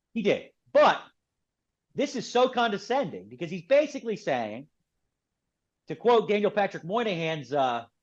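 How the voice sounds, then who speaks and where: In a Philadelphia accent, a man with a high pitch speaks in an animated tone, with very wide pitch swings and long, frequent pauses. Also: moderate pace, quiet background. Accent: Philadelphia American English. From Philadelphia, US. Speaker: author and political commentator. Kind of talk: podcast interview.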